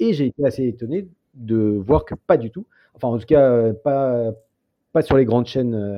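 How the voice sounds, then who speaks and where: A man speaks at a moderate pace. His pitch is medium, with ordinary pitch variation. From France, born in the Soviet Union. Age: 40s. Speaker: documentary filmmaker. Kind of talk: interview. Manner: halting.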